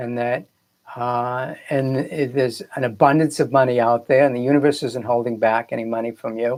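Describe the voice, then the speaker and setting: A moderate pace in a Boston accent, with ordinary pitch variation, in a very clean recording with a silent background. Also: man. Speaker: filmmaker and spiritual coach. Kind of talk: live broadcast talk. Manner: casual, hesitant with fillers.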